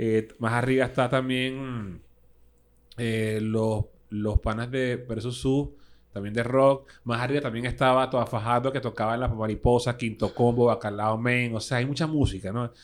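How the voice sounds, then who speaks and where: A man speaks at a fairly slow pace, his medium-pitched voice flat and monotone. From Venezuela, Caracas (Caricuao). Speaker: guitarist, DJ and radio host. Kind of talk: casual interview chat. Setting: studio.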